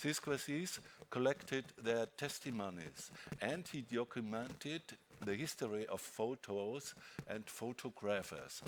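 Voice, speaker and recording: At a very slow pace, a man with a medium pitch talks with lively intonation. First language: not English (prepared in French). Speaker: moderator. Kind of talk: panel discussion moderation. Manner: hesitant.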